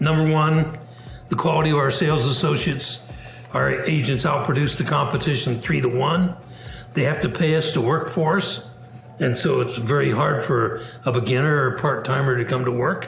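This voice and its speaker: Audible room echo and faint background music accompany a man with a fairly high pitch, who talks at a moderate pace with ordinary pitch variation and very even loudness. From US Midwest, Indiana. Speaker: business founder; interviewee. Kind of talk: interview. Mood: reflective, relaxed. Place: home room. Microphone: webcam.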